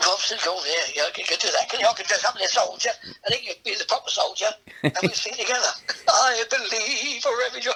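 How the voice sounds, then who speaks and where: The speaker has an English accent and talks at a very fast pace. Background noise is noticeable. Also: man. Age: 60s. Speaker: comedian. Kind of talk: casual chat. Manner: halting.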